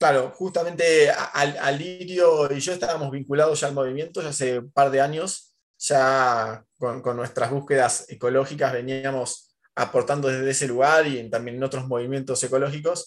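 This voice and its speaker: A man with an Argentine accent and a fairly high voice speaks at a moderate pace with fairly even intonation and hardly any pauses. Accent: Rioplatense Argentine Spanish. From Argentina, Mar del Plata. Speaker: cartoonist and muralist. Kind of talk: casual interview.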